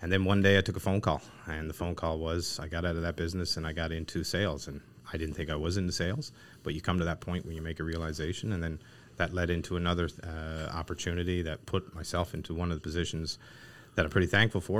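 Very fast and monotone, a man speaks in a Newfoundland accent with flat intonation. His pitch is very deep and low, on a very clean recording with a silent background. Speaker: equipment company co-founder. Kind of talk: casual interview. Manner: talkative.

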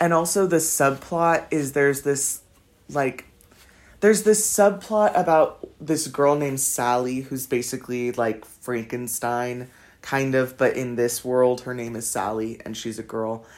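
Lively intonation from a man at a medium pitch with a Californian accent. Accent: Californian American English. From Los Angeles. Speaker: podcaster, university student. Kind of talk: casual monologue. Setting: at home desk. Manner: casual, rambling with fillers.

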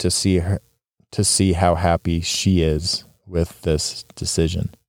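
Speaking fairly slowly with a Western US accent, a man has a very deep, low pitch, a dark, mellow tone and monotone, flat intonation, on a very clean recording with a silent background. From Utah. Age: 40s. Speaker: podcast host. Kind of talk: solo podcast monologue. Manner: casual, with filler ums and restarts.

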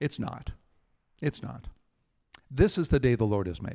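Lively intonation marks a man's medium-pitched voice at a moderate pace. The sound is dry and close with no echo. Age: 60s. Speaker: pastor. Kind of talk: sermon.

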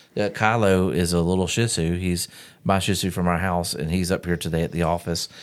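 Very clean recording, silent background, and a man talking at a very deep, low pitch. His pace is fairly quick, with fairly even intonation and very even loudness. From US South. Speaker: podcast host. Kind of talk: casual chat.

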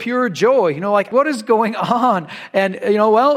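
The speaker is heard reading aloud in a natural voice.

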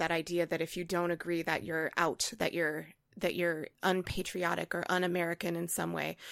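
A woman speaks at a moderate pace in a flat monotone. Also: fairly low pitch for a woman, very clean recording, silent background. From US Midwest and Hawaii. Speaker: choral conductor and music teacher. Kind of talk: casual chat.

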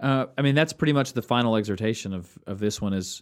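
A man with an ordinary speaking voice talks at a medium pitch with ordinary pitch variation on a very clean recording with a silent background. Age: 30s. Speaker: pastor and podcast co-host. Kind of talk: casual chat.

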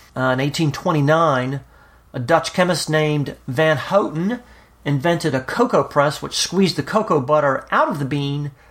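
A man with an American accent speaks in a plain, everyday voice, his pitch fairly high and its variation ordinary. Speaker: radio host. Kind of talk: podcast hosting with scripted intro and interview.

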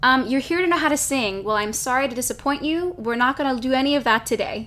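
A woman's raised, projected voice, high in pitch and bright and sharp in tone, very fast with lively intonation. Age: 20s. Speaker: podcast host. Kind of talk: casual chat. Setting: Instagram Live stream.

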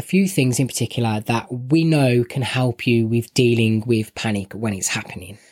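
Speaking in a Birmingham accent, a man talks at a moderate pace and medium pitch. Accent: Birmingham (West Midlands) English. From Birmingham, England. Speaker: podcast co-host. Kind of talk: casual chat podcast.

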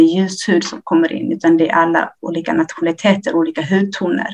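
A woman speaks in a plain, everyday voice at a fairly low pitch. Her pace is moderate and her intonation fairly even. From Ethiopia. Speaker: nurse. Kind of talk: interview. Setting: remote link.

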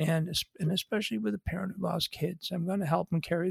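The speaker has a Western New York accent. The pace is fairly quick. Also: man, dry, close sound with no echo. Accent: Western New York American. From Buffalo, New York, US. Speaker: afterlife author, bereaved father. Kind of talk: interview. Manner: emotional, conversational.

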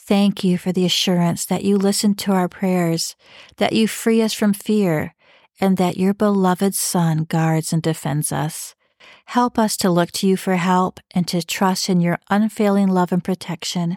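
Heard on a very clean recording with a silent background, a woman with an ordinary speaking voice talks at a fairly slow pace and medium pitch, with fairly even intonation, very even loudness and a dry, close sound with no echo. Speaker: podcast host, devotional leader. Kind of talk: devotional Bible reading and reflection, with a fervent, intimate prayer near 5:03. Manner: earnest, warm, gentle and pleading in the prayer, urgent and heartfelt; sincere, encouraging, personal.

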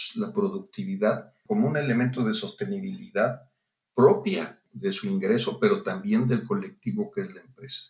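His pitch is high for a man and swings very widely. This man talks at a fairly slow pace. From Mexico, Guanajuato. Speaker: physician and public health official. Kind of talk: interview.

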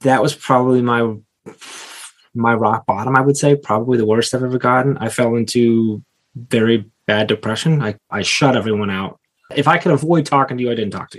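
Fairly quick speech from a man at medium pitch, with ordinary pitch variation. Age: 30s. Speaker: education business executive. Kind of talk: casual interview.

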